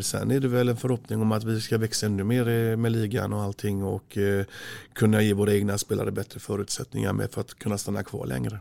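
Very fast speech from a man at a medium pitch. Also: very clean recording, silent background. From Gothenburg, Sweden (Frölunda). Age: 40s. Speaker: handball coach. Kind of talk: interview. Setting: studio. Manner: halting.

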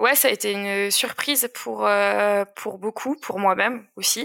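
A woman talks fairly slowly, her sound dry and close with no echo. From Alsace, France. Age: 20s. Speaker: amateur trail runner. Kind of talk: interview. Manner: hesitant, many fillers.

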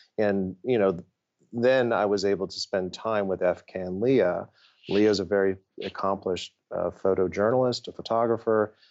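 Speaking with an American accent, a man keeps a moderate pace, a fairly low pitch and a fairly even intonation. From Ohio, US Midwest. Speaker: nonprofit CEO. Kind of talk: interview. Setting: office. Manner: halting, many fillers and repetitions.

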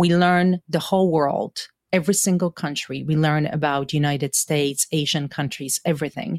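In a Polish accent, a woman with a very deep, low pitch and ordinary pitch variation speaks at a moderate pace, in a very clean recording with a silent background and a dry, close sound with no echo. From Poland (Stalowa Wola area). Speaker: university faculty member. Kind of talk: interview, personal storytelling.

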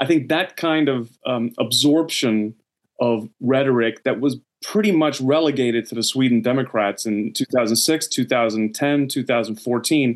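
Speaking with an American accent at a moderate pace, the voice is an ordinary speaking voice with ordinary pitch variation. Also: man. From United States. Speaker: journalism professor. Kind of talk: interview.

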